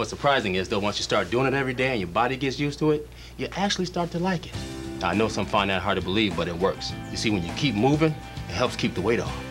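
A man's fairly low voice at a very fast pace, with very wide pitch swings and clear music in the background. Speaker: actor. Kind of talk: TV commercial read. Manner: casual, conversational. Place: forest.

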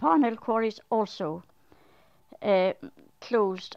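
In a quiet background, a woman with an Irish accent speaks at a fairly high pitch. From Arklow, Ireland. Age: 70s. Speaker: elderly local resident. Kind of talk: interview answer. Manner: hesitant, reminiscing. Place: home room.

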